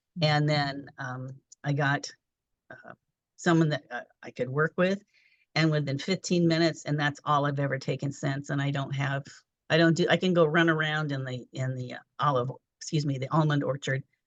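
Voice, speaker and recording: The delivery has fairly even intonation and big swings in loudness, broken by long, frequent pauses. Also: woman, very deep, low pitch for a woman, moderate pace, dry, close sound with no echo. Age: 70s. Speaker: performing arts director and holistic health coach. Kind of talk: interview.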